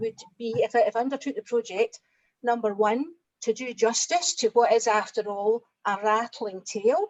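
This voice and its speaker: A woman with a Scottish accent, fairly high in pitch with ordinary variation, at a moderate pace in a dry, close sound with no echo. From Scotland. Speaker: translator. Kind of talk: panel discussion.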